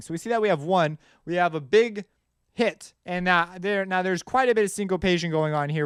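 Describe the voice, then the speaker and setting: A loud man speaks at a very fast pace in a high pitch with ordinary pitch variation. The recording is very clean, with a silent background. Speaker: music composition teacher. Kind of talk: tutorial.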